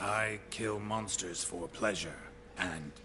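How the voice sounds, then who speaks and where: Putting on a character voice, a man speaks very slowly at a fairly low pitch against clear background noise. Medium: video game. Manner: terse, dry.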